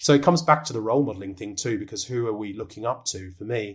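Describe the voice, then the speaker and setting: A normal speaking voice from a man, fairly low in pitch, with ordinary pitch variation at a fairly quick pace. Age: 30s. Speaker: executive coach, former cricketer. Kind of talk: podcast interview. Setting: video call.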